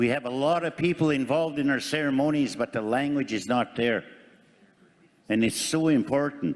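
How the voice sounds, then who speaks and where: The speaker has an unremarkable speaking voice and keeps a moderate pace. Loudness stays very even, and the pitch varies in an ordinary way. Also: man, fairly high pitch for a man. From Canada, First Nation community. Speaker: First Nations community delegate. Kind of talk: formal assembly speech. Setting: assembly floor microphone.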